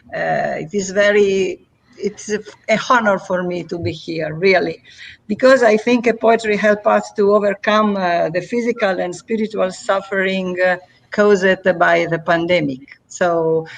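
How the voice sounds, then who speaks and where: A woman in an Italian accent at a fairly slow pace, medium in pitch, with ordinary pitch variation. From Italy. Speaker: poet and festival organizer. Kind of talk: casual live interview. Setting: online live stream. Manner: halting, many hesitations.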